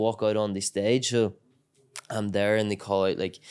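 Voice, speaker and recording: A man speaks in a Northern Irish accent. His voice sits at a medium pitch. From Northern Ireland, County Tyrone. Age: 20s. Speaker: MMA fighter. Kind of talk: casual chat. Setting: training camp in Thailand.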